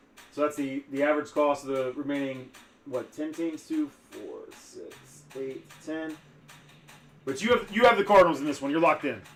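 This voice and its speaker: A man's fairly high voice, mumbled, with big swings in loudness and music in the background. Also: ordinary pitch variation, moderate pace. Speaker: sports card breaker, livestream host. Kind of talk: live stream commentary. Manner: mumbling; halting, repeats words.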